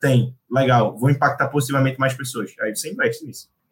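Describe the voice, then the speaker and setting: A man speaks at a fairly quick pace and fairly high pitch. His voice is somewhat breathy. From Brazil, Recife. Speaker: venture capital analyst. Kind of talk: casual chat.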